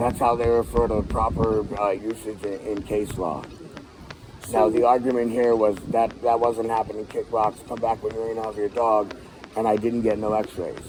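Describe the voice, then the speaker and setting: A man talks in a flat monotone. Noticeable background noise is present. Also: medium pitch for a man, moderate pace. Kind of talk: heated debate.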